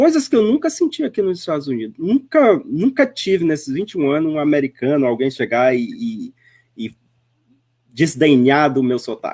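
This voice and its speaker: Speaking at a moderate pace, a man with a fairly high pitch makes very wide pitch swings. The recording is very clean, and the background is silent. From Northeast Brazil. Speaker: spiritist speaker. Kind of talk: radio interview. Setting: web radio.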